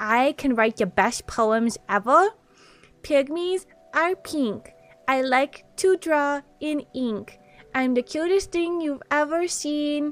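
A woman in a put-on character voice, high-pitched and very slow. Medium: role play. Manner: cutesy.

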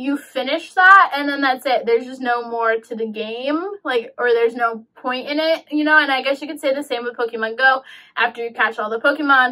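Against a quiet background, a woman with a high pitch talks at a fairly quick pace with ordinary pitch variation. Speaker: game reviewer vlogger. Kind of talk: casual vlog chat. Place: home room.

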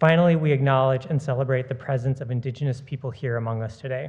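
A man's somewhat breathy voice with fairly even intonation. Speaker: garden director introducing lecture. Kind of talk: formal welcome address. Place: hall. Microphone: podium.

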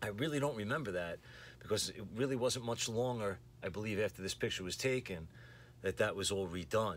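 A man's fairly low voice with lively intonation, over light background noise. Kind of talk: casual vlog chat. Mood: nostalgic, lightly amused. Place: home room. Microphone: phone near.

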